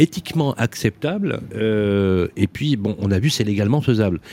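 At a moderate pace, a man speaks with lively intonation, the sound dry and close with no echo. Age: 50s. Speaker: radio host. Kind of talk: radio panel discussion. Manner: animated.

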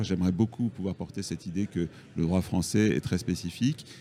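The voice has a dark, mellow tone and ordinary pitch variation. It keeps a moderate pace. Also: man. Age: 50s. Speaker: real estate agent and federation official. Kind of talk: interview. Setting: live from a trade fair.

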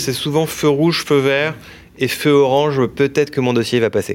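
In a normal speaking voice, the speaker moves at a fairly quick pace with fairly even intonation. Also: man. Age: 30s. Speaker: mortgage broker entrepreneur. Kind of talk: interview.

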